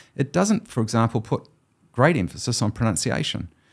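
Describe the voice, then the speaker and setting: On a very clean recording with a silent background, a man talks at a fairly quick pace. His voice has vocal fry. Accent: New Zealand. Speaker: historian and professor. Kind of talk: interview conversation.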